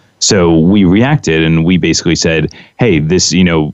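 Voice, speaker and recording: With noticeable background noise behind him, a man talks at a moderate pace in a very deep, low pitch with fairly even intonation. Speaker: real estate broker. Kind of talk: panel discussion.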